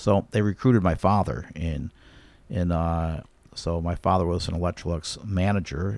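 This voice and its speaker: A man with a very deep, low pitch and ordinary pitch variation. The recording is very clean with a silent background. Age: 60s. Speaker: commercial real estate developer and flooring contractor. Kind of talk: casual interview. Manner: halting, repeats words.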